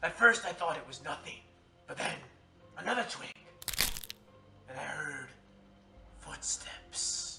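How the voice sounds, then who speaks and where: A man puts on a character voice at a fairly slow pace. Clear background noise can be heard. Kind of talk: campfire tall tale. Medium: voice reel. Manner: theatrical, dramatic.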